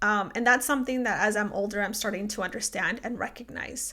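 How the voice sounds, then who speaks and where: A woman with a Spanish accent talks at a fairly quick pace and fairly high pitch. Her tone is bright and sharp, and her intonation fairly even. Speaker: podcast host. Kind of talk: personal reflective monologue. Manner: many fillers, um and like.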